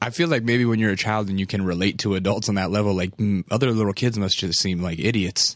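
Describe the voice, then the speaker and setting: The speaker races along at a very fast pace with hardly any pauses and ordinary pitch variation. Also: man, fairly low pitch for a man, very clean recording, silent background. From Alaska. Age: 30s. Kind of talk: casual interview chat. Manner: casual, profane.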